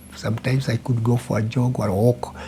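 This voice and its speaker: The pace is fairly quick. There is noticeable background noise. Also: man. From Kenya, Kiambu County. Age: 80s+. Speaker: retired businessman. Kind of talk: interview.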